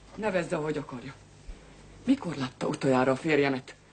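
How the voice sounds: Doing a put-on character voice, a woman speaks at an extremely low pitch with a husky, rough edge. Her tone is slightly mellow, and her pitch variation is ordinary.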